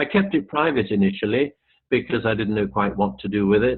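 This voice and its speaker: A man with an English accent speaks at a medium pitch. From England. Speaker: retired airline pilot and spiritual channeler. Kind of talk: casual interview chat.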